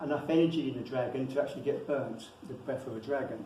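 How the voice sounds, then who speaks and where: Noticeable background noise beneath a man's moderate-paced speech. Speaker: lecturer on dragons and wizardry. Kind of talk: lecture with slides.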